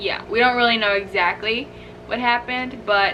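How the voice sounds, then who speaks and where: A woman speaks at a fairly high pitch with ordinary pitch variation while music plays in the background. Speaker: animal YouTuber. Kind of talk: casual storytime talk to camera.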